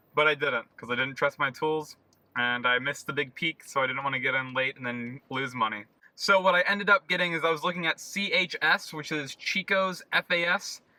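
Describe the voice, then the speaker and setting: Here is an ordinary speaking voice from a man with a fairly high pitch and ordinary pitch variation. He talks at a fairly quick pace, the sound dry and close with no echo. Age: 20s. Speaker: amateur investor. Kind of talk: casual talk to camera.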